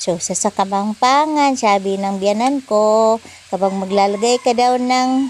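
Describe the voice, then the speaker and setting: Noticeable background noise sits behind a woman who talks at a very slow pace. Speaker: home cooking vlogger. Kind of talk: cooking tutorial. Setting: home kitchen. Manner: uses a put-on, not her normal voice; casual, chatty.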